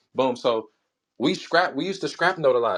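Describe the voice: Here a man is speaking. He mumbles.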